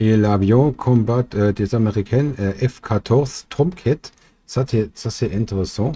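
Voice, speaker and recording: A man with a German accent, medium in pitch, dark and mellow in tone and somewhat breathy, with ordinary pitch variation and a very slow pace, on a very clean recording with a silent background. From Germany. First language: German (speaking French). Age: 40s. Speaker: amateur theorist, chemical industry worker. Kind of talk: explainer video. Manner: halting, many fillers.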